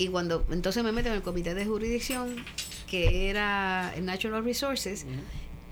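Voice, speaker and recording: With audible room echo, a woman speaks at a medium pitch and moderate pace, showing ordinary pitch variation. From Puerto Rico (Caguas), raised abroad mostly in Europe with military father. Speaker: retired politician and doctor. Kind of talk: interview, life story.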